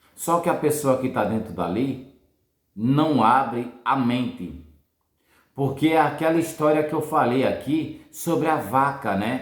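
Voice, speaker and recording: A man talks at a very slow pace in a fairly high pitch, with lively intonation. Room echo is audible. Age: 50s. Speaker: financial educator, former truck driver. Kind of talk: casual motivational talk. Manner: halting, repetitive.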